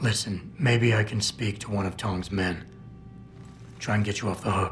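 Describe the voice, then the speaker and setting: A man uses a put-on character voice, raspy and fairly low, with a calm tone, ordinary pitch variation and a moderate pace over clear background noise. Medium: video game. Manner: calm, gruff, measured.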